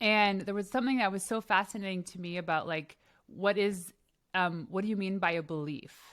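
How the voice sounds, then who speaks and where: The recording is very clean, with a silent background. A woman speaks at a medium pitch with a slight Canadian accent. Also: ordinary pitch variation, fairly quick pace. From Canada. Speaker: podcast host. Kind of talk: interview.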